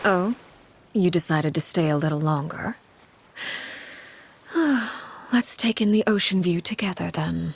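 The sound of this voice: Putting on a character voice, a woman talks at a fairly slow pace with a fairly low pitch, ordinary pitch variation, a slightly husky edge, vocal fry, and long, frequent pauses.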